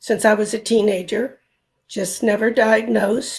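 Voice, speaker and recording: Using a very slow pace and monotone, flat intonation, a woman speaks in a fairly high pitch with vocal fry. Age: 70s. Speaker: retired nurse. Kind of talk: interview testimony.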